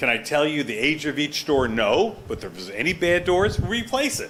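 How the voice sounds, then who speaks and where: A man's pitch swings very widely. Audible room echo hangs around his words. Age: 70s. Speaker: property owner and surgeon. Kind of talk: testimony at a town board hearing. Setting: town hall meeting. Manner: animated.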